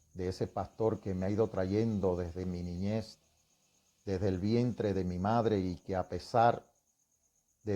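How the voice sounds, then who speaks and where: Against a quiet background, a man speaks at a fairly slow pace in a very deep, low pitch, his tone dark and mellow and his intonation fairly even. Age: 60s. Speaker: religious testimony speaker. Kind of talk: testimony.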